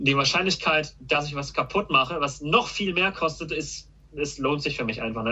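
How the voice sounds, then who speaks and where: Speaking at a very fast pace, a man uses a fairly high pitch and lively intonation, with vocal fry. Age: 20s. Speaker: car YouTuber. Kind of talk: casual chat. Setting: call.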